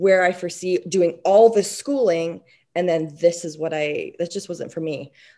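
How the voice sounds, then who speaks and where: With ordinary pitch variation and a moderate pace, this is a plain, everyday voice. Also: woman. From Quebec, Canada. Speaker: dentist. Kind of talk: interview. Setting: remote call from home.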